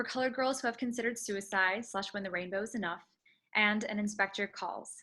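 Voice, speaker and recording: A woman speaks very fast in a fairly high, bright, sharp voice with ordinary pitch variation. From United States. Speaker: theatre producer and actress. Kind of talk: prepared welcome speech. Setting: video call. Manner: formal.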